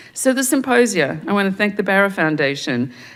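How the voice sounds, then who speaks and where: This is a woman speaking with an American accent. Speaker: museum director opening a symposium. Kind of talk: welcoming remarks and acknowledgments. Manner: hesitant, many fillers and restarts.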